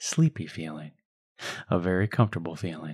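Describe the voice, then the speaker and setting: A man talks in a gentle, soothing tone. The sound is dry and close, with no echo. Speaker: hypnotherapist. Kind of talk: guided hypnosis script for children. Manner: slow, soothing, calm; gentle, hypnotic, unhurried pacing.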